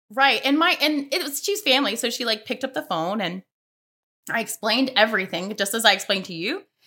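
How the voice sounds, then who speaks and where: With an American accent, a woman speaks very fast in a bright, sharp tone, her pitch fairly high and her intonation lively. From US South, Mobile, Alabama. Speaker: podcast listener sharing personal story. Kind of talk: interview, personal testimony.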